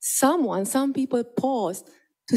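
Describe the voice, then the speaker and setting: A woman's dark, mellow voice in a Romanian accent, at a fairly slow pace with ordinary pitch variation. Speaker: conference presenter, existential therapist. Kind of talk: conference presentation. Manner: halting, many fillers and repetitions.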